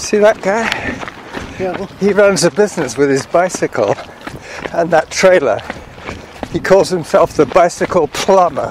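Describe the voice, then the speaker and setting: The speech moves at a moderate pace with ordinary pitch variation and long, frequent pauses. The sound is dry with no echo, and there is noticeable background noise. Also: man, high pitch for a man. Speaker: amateur runner podcaster. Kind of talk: casual chat while running. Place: street.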